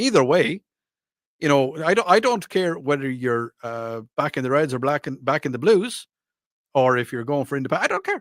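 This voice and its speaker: A man with an Irish accent, fairly high in pitch, at a moderate pace with lively intonation, in a dry, close sound with no echo. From Ireland. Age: 40s. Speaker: radio talk show host. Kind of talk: radio call-in show, reading listener texts. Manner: casual, hesitant with fillers.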